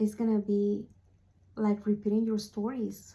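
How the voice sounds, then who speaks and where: A woman's fairly high, somewhat breathy voice with a dark, mellow tone, monotone, flat intonation and a non-native accent. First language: not English. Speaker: spiritual speaker / vlogger. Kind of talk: motivational talk to camera. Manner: halting, with fillers.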